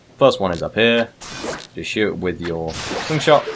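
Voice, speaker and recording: Noticeable noise fills the background. Over it, a man talks. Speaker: gaming video creator. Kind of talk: let's play commentary. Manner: casual, rambling. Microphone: uneven level, too quiet or too loud.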